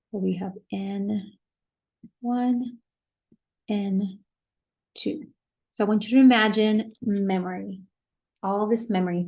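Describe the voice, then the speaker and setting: A woman at medium pitch speaks very slowly with fairly even intonation. Her tone is dark, mellow and somewhat breathy. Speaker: professor. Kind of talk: lecture.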